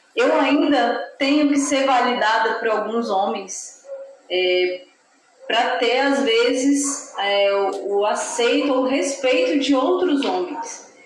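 Over noticeable background noise, a woman speaks very slowly at a high pitch, her loudness very even and her pitch varying in an ordinary way. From Brasília, Brazil. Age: 30s. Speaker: lawyer and writer. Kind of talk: interview.

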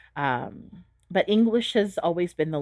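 In a Californian accent, a woman speaks in an animated tone at a fairly slow pace. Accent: General American, Californian. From US West Coast, San Diego, California. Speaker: Montessori teacher and chef. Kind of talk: interview. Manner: animated, laughs often.

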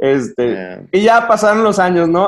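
This man speaks with a southern Mexican accent at a fairly slow pace. His intonation is lively. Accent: sing-song southern Mexican. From southern Mexico, provinces. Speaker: pastor and podcast host. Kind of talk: casual chat.

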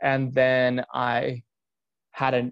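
A man speaks at a medium pitch with a Californian accent. His intonation is monotone and flat. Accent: Californian American. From Southern California, San Diego. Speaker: podcast host, personal trainer and nutrition coach. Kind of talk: personal story monologue.

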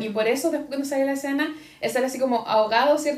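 A woman talks at a very fast pace in a high pitch with ordinary pitch variation, with audible room echo and noticeable background noise behind her. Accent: Chilean. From Chile. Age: 30s. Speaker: podcast co-host. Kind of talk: casual chat.

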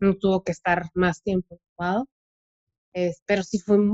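A woman with a medium-pitched voice is heard in a dry, close sound with no echo. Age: 30s. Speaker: lawyer and mother of a child with cancer. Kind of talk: casual chat.

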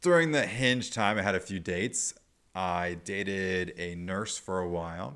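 On a very clean recording with a silent background, a man with an American accent talks at a fairly slow pace, his very deep, low pitch carrying a bright, sharp tone and ordinary pitch variation. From Nebraska, US Midwest. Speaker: podcast host. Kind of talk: casual chat.

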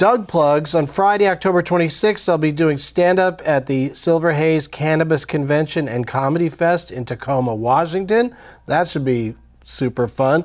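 Here a man uses a normal speaking voice. He talks at a moderate pace with ordinary pitch variation. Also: fairly high pitch for a man. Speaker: comedian and podcast host. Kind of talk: casual chat.

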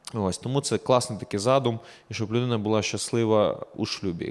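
On a very clean recording with a silent background, a man speaks at a moderate pace and a medium pitch. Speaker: pastor. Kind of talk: casual Q&A chat.

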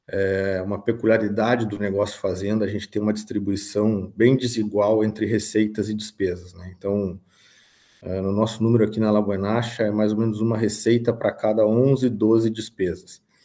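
A man speaks in a monotone, flat way, his fairly low voice having a dark, mellow tone. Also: moderate pace. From southern Brazil, Rio Grande do Sul (São Gabriel). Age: 30s. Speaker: farm manager and financial consultant. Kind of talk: interview.

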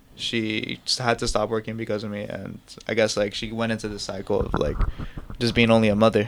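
A man's flat, monotone voice against noticeable background noise. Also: fairly quick pace. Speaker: filmmaker and music video director. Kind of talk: casual chat.

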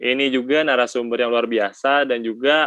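His tone is bright and sharp, with ordinary pitch variation. The man's recording sounds dry and close, with no echo. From West Java (Sundanese). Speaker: student podcast host. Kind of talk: casual chat. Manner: animated.

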